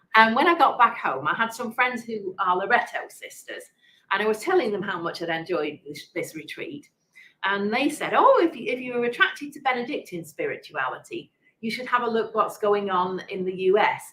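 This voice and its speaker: A woman talks at a fairly quick pace in an English accent, her pitch fairly high. Her pitch swings very widely, and her loudness swings a lot too. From England, Manchester. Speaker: prioress of a monastery. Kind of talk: interview conversation. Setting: online interview event. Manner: halting.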